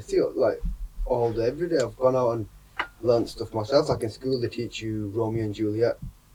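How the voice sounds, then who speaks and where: With a slight Lancashire accent, a man talks at a very fast pace in a medium pitch, with noticeable background noise behind him. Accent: slight Lancashire twang. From Bradford, England. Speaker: university technician. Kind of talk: podcast conversation.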